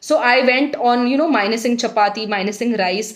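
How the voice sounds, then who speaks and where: This woman has a high pitch and an Indian accent, talking at a moderate pace with lively intonation. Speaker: weight loss vlogger. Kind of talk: casual vlog talk.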